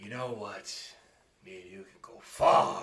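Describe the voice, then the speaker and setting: Putting on a raspy character voice, a man speaks at a medium pitch. His pace is fairly slow. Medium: actual play. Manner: cocky, scheming.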